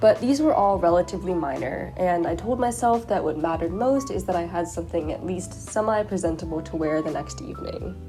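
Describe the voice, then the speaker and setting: With music in the background, the speaker moves at a fairly quick pace with hardly any pauses. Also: woman. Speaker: crochet crafter. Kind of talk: vlog voiceover narration.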